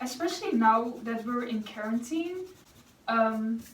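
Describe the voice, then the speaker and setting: Spoken at a very slow pace with a strong Dutch accent and lively intonation, the voice carries audible room echo. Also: woman. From Netherlands. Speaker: YouTuber. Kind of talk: casual Q&A chat while painting.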